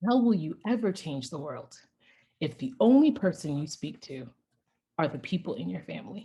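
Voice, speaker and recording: A woman with a slight non-native accent speaks at a moderate pace in a fairly low, somewhat breathy voice with a dark, mellow tone. Her pitch swings very widely. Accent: slight foreign. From Ghana, raised in US South. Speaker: tech product evangelist. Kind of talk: storytelling talk. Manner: animated.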